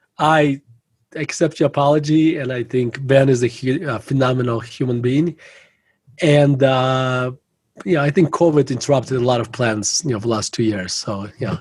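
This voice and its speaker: In a Russian accent, a man speaks at a moderate pace and medium pitch, somewhat breathy, with ordinary pitch variation. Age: 40s. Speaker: value investor and author. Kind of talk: interview conversation.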